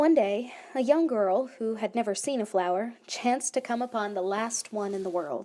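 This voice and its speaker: Recorded very cleanly against a silent background, a woman with a fairly high pitch and a dark, mellow tone speaks at a moderate pace with ordinary pitch variation. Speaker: animator and narrator. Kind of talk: reading aloud.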